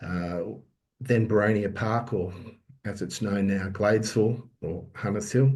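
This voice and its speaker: With an Australian accent, a man speaks at a fairly slow pace in a fairly low, somewhat breathy voice, with audible room echo. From Sydney, Australia. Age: 60s. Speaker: political candidate. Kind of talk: campaign speech. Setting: online video call, audio only.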